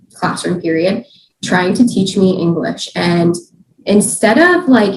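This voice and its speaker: A woman's very slow voice with vocal fry and ordinary pitch variation. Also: medium pitch for a woman. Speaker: dirt biker and YouTuber. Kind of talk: podcast interview. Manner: casual, many fillers.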